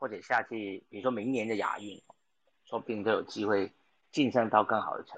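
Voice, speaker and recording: The background is quiet while a man speaks at a medium pitch. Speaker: sports podcast host. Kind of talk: casual chat.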